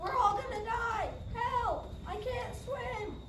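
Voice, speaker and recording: A put-on character voice at an extremely high pitch, very slow, with slight echo and loud background noise. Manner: panicked, shouting.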